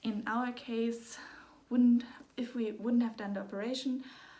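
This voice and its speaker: A fairly high-pitched woman at a moderate pace. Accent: German. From Germany. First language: German. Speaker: parent of a sick child. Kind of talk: personal story vlog. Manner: halting.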